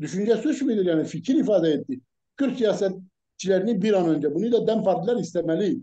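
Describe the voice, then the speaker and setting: This man has a high pitch and a dark, mellow tone. He speaks at a moderate pace with lively intonation. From Kurdish region of Turkey. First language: Kurdish (speaking Turkish). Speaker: political commentator. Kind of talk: heated debate. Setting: live broadcast. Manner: animated.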